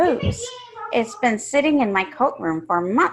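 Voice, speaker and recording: A woman puts on a character voice at a high pitch with very wide pitch swings. Her pace is moderate. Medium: read story. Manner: stern, impatient.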